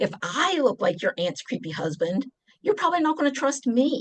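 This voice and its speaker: A woman speaks fairly slowly in a strong West Virginia accent. Her pitch swings very widely. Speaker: deacon and presenter. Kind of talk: presentation. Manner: animated.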